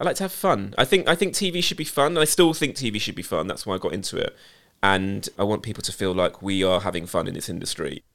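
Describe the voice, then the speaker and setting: At a very fast pace, a man with a British accent speaks at a fairly low pitch with very wide pitch swings, in a very clean recording with a silent background. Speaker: TV production company boss. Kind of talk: casual interview chat.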